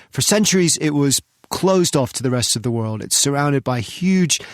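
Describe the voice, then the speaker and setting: An enthusiastic man, dry and close with no echo, on a very clean recording with a silent background. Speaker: podcast host, travel writer. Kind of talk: podcast episode introduction. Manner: friendly, conversational, enthusiastic.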